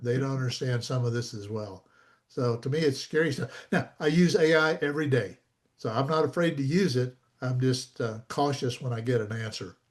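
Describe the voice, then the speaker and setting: Over a quiet background, a man with an American accent speaks in a somewhat breathy voice. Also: medium pitch for a man, ordinary pitch variation. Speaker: copyright expert, presenter. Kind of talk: Q&A after a talk. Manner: fast.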